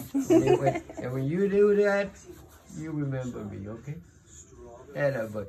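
A man's fairly high voice at a moderate pace, with noticeable background noise. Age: 80s+. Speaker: great-grandfather. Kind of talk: casual family talk, giving advice to a child. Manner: warm, grandfatherly. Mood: tender, earnest. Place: home room. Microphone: phone near.

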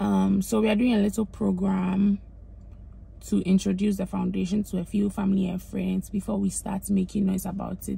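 A woman speaks at a moderate pace in a dry sound with no echo. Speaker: vlogger. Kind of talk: casual vlog chat. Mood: happy but mixed. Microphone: phone near.

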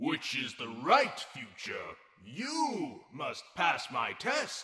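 A man puts on a character voice with a high pitch. He speaks very slowly, and a clear echo is audible. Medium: short film. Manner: insistent, ominous, repetitive.

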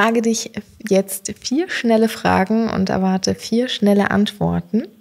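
Speaking at a fairly slow pace with medium pitch and fairly even intonation, a woman's loudness swings a lot. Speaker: podcast host. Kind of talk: interview. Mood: warm, smiling. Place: office. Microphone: studio mic.

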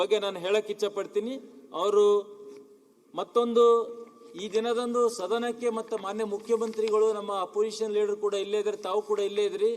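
A man at a high pitch with monotone, flat intonation over noticeable background noise. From Bidar district, north Karnataka (Bhalki). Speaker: legislator. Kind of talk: condolence speech in legislative assembly. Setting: legislative assembly chamber. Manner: formal.

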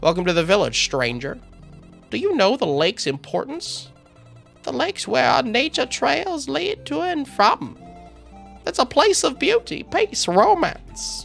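A put-on character voice comes at a moderate pace with a fairly high pitch. Clear music plays in the background. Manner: welcoming, mysterious.

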